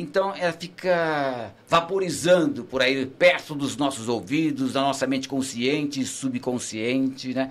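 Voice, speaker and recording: A man with an unremarkable speaking voice and fairly high pitch talks at a fairly slow pace with hardly any pauses and ordinary pitch variation, on a very clean recording with a silent background. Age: 60s. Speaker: veteran journalist and radio broadcaster. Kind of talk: casual chat.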